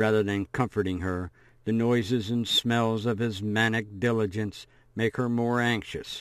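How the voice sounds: In a natural reading voice, the intonation stays fairly even.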